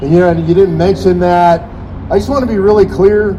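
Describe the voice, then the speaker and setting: The animated voice has ordinary pitch variation, with noticeable background noise and audible room echo. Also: man. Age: 60s. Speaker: political activist speaking at a rally. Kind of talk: rally speech. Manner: animated, rousing.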